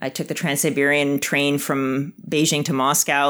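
In a very deep, low voice with a slight Canadian accent, a woman talks at a moderate pace on a very clean recording with a silent background. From Canada, Winnipeg. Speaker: biotech executive. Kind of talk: interview.

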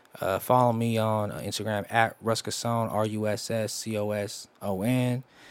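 A man talks at medium pitch in a monotone, flat intonation. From San Jose, California. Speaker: R&B singer and rapper. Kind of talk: casual interview. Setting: studio.

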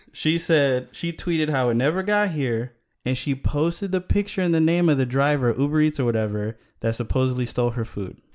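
On a very clean recording with a silent background, a man with an American accent and an unremarkable speaking voice talks fairly quickly at a fairly high pitch with lively intonation. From Chicago. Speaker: video maker. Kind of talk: casual chat.

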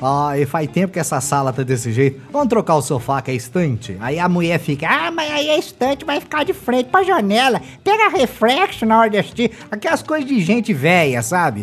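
A man talks at a high pitch with very wide pitch swings, with noticeable background noise behind him. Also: fairly quick pace. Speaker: podcast host. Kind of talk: casual comedic chat.

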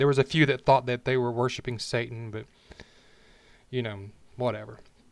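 A man with an Alabama accent, medium in pitch, with monotone, flat intonation and long, frequent pauses. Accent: Southern US (Alabama). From Alabama, US South. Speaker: podcast host. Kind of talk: personal monologue, unscripted. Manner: casual, unpolished with restarts.

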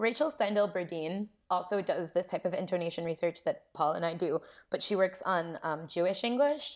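In a very clean recording with a silent background, a woman with an American accent has a normal speaking voice at a medium pitch, with lively intonation and a moderate pace. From Columbus, Ohio. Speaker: linguistics postdoc. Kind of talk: casual interview.

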